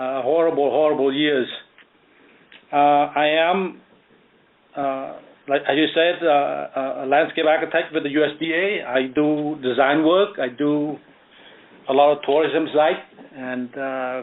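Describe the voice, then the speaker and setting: Pausing long and often, a man speaks at a fairly slow pace with a fairly high pitch and fairly even intonation. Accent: Cambodian. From Cambodia. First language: Khmer. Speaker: author and landscape architect. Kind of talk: radio interview. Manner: hesitant, many fillers.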